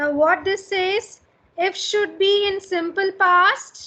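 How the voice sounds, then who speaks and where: Extremely high-pitched, a woman projects a raised voice with a bright, sharp tone, very slowly and with ordinary pitch variation. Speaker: college English teacher. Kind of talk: lecture.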